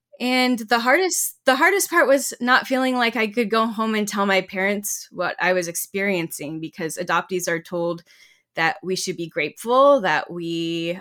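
In an American accent, a woman with a bright, sharp tone and medium pitch speaks at a moderate pace with ordinary pitch variation, on a very clean recording with a silent background. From US South, Georgia and Texas. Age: young. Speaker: writer and community historian. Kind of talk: interview.

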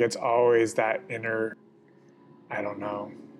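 Fairly level intonation and a moderate speed from a man, a normal speaking voice pitched in the middle range. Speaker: podcast co-host. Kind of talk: casual chat. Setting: outdoors.

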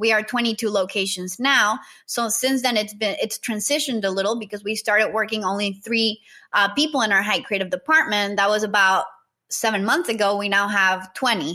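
With a Spanish accent, a woman speaks at a fairly quick pace in a fairly high pitch and a bright, sharp tone. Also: ordinary pitch variation. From Nicaragua. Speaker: marketing entrepreneur. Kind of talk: interview.

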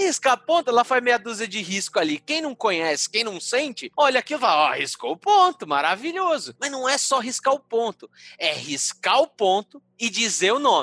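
A man projects a raised voice at an extremely high pitch, with very wide pitch swings and a bright, sharp tone, in a dry, close sound with no echo. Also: moderate pace, hardly any pauses. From São Paulo, Brazil (Mooca). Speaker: Umbanda spiritual leader. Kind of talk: casual interview.

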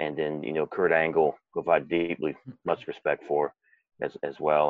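A man talks at a moderate pace in a very deep, low pitch with monotone, flat intonation. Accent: American. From United States. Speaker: former pro wrestler and actor. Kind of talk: interview. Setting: remote call.

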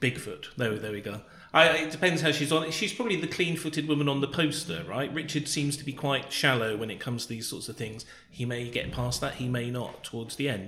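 A man at a fairly high pitch and fairly quick pace, with ordinary pitch variation and noticeable background noise. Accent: British. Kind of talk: casual chat.

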